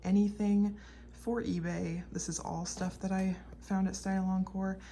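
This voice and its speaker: A woman whispering at a fairly slow pace. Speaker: clothing reseller, channel owner. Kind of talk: product showcase video.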